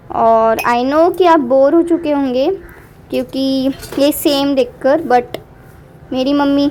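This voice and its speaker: A woman's high voice with ordinary pitch variation over noticeable background noise. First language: Marathi (speaking Hindi). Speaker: vlogger. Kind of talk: vlog voiceover commentary. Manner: animated.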